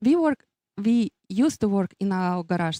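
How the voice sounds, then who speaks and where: A woman speaks at a medium pitch with a Russian accent, her dark, mellow tone carried by lively intonation in a dry, close sound with no echo. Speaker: business owner, race graphics designer. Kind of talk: interview. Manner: halting, many fillers.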